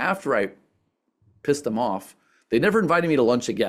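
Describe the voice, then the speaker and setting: Using very wide pitch swings, a man talks with vocal fry. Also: very clean recording, silent background. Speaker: sustainability entrepreneur and speaker. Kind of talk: presentation Q&A. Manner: fast.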